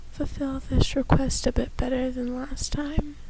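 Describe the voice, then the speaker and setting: Noticeable background noise lies under speech delivered fairly slowly. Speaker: ASMR video creator. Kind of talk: ASMR talk to camera. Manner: casual, soft-spoken.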